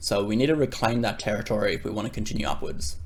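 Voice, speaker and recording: A man speaks with vocal fry. His pace is fairly quick. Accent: Australian. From Australia. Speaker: crypto trader and YouTuber. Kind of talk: market analysis tutorial. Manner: casual with filler words.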